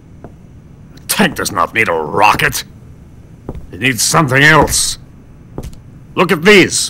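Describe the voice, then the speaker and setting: Putting on a character voice, a man talks at a fairly high pitch and fairly slow pace, with long, frequent pauses and big swings in loudness. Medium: video game. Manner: terse, deadpan.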